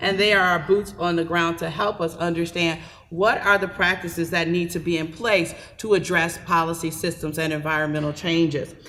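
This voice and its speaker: A woman's voice, fairly low in pitch, carries a bright, sharp tone. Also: fairly even intonation, moderate pace. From Milwaukee, Wisconsin. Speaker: public health program director. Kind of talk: panel talk. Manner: quiet.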